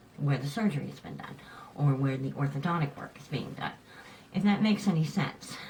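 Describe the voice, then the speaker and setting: A woman speaks at a fairly quick pace with noticeable background noise behind her. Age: 50s. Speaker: vlogger with cleft lip and palate. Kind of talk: casual talk to camera.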